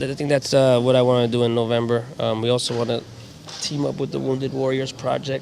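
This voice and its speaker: Speaking in a New York accent, a man talks at a fairly quick pace and medium pitch. His intonation is monotone and flat, and there is noticeable background noise. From New York, Queens. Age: 30s. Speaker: animal-loving charity advocate. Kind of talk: casual interview chat.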